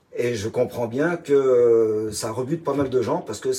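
The speaker is a man with a dark, mellow tone. His voice is somewhat breathy, with ordinary pitch variation. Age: 60s. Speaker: retired chef. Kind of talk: interview.

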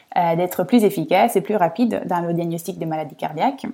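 In a very clean recording with a silent background, a woman speaks at a medium pitch and moderate pace with ordinary pitch variation. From Italy, Rome. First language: Italian (speaking French). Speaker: senior product manager at a medtech startup. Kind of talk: interview. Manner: hesitant, many fillers.

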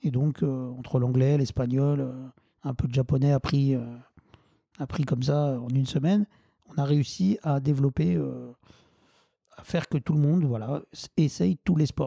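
At a fairly slow pace with long, frequent pauses, a man speaks in a somewhat breathy, dark, mellow voice of fairly high pitch, with ordinary pitch variation, very even loudness and a dry, close sound with no echo. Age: 40s. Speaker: wheelchair football club president. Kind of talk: interview. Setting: at home. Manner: halting.

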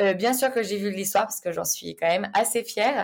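Here a woman talks. Her pitch moves in an ordinary way. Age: 20s. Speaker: business manager. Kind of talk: casual interview.

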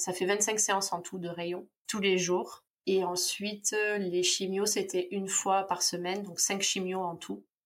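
Music plays in the background as a woman speaks at a fairly slow pace. Her intonation is monotone and flat. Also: medium pitch for a woman. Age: 30s. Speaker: cancer survivor. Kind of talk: interview testimony. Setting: video call.

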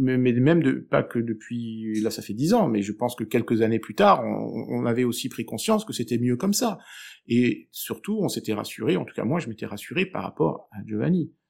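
Recorded very cleanly against a silent background, a man speaks at a medium pitch and a moderate pace with lively intonation. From southern France, Aix-en-Provence. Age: 40s. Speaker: divorced father. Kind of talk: interview. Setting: at home. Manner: halting, repeats words.

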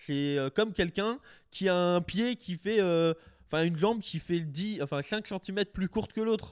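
Speaking at a fairly slow pace, a man with a high pitch and ordinary pitch variation comes through in a dry, close sound with no echo. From Alsace, France. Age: 20s. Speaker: content creator and reptile breeder. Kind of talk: casual interview.

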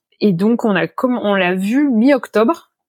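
In a dry, close sound with no echo, a woman speaks at a very slow pace with ordinary pitch variation. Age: 30s. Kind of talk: interview testimony. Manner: halting, many fillers and repetitions.

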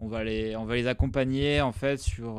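A man talks at a fairly slow pace in a medium pitch. His intonation stays fairly even, and his is a plain, everyday voice. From southern France, rural Drôme. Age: 30s. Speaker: tech product manager. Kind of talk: interview.

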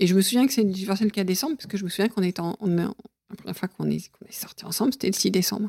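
A woman talks at a very fast pace in a medium pitch. The sound is dry and close, with no echo. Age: 50s. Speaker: podcast guest telling her love story. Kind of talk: casual interview. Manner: halting, with many fillers.

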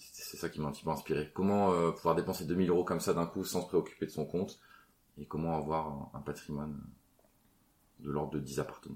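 A man talks at a fairly quick pace with a very deep, low pitch. His intonation stays fairly even, broken by long, frequent pauses. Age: 30s. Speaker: property investor. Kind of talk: casual chat. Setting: city traffic audible.

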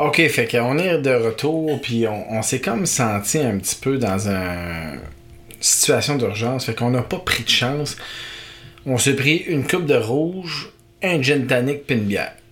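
Over noticeable background noise, a man at a medium pitch speaks fairly slowly with lively intonation. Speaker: podcast host. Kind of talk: casual chat, playful banter.

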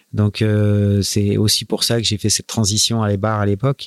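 A man of medium pitch at a fairly slow pace, in a very clean, dry, close recording with a silent background and no echo. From France. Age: 40s. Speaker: professional sailor. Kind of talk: interview. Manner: halting.

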